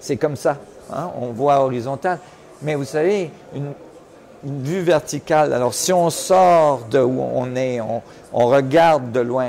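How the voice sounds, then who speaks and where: Against noticeable background noise, a man talks fairly slowly with ordinary pitch variation and long, frequent pauses. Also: fairly high pitch for a man. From Switzerland. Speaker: physicist, research director. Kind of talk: interview. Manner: halting, many repetitions.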